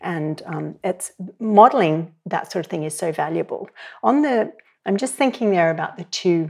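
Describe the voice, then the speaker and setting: A woman's fairly low voice in an Australian accent, at a moderate pace. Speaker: sex educator and therapist. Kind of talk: interview conversation. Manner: reflective, uses many fillers.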